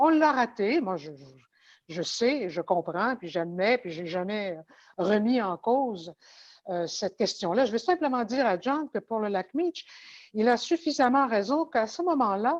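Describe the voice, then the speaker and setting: Against a quiet background, a woman with a fairly high pitch talks at a fairly slow pace, her pitch swinging very widely. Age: 70s. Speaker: former politician. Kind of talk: panel discussion. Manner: halting.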